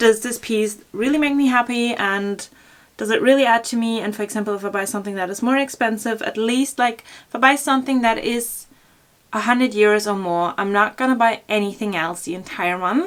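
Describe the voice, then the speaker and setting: A woman's fairly high voice with ordinary pitch variation at a moderate pace. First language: German. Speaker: fashion blogger. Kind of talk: Q&A vlog, casual chat. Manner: casual with many fillers (um, like).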